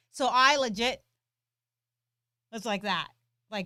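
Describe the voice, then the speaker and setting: A woman talks at a fairly slow pace in a dry, close recording with no echo. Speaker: gun training channel co-host. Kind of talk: live stream Q&A chat. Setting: live stream. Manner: loud.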